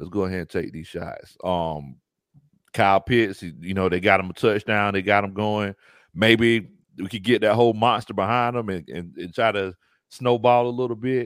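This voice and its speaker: A man with a Southern US accent, fairly low in pitch, at a moderate pace with ordinary pitch variation and big swings in loudness, on a very clean recording with a silent background. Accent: Southern US (Georgia). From US South, coastal Georgia near Savannah. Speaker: YouTube sports commentator, former football coach. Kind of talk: casual sports podcast chat.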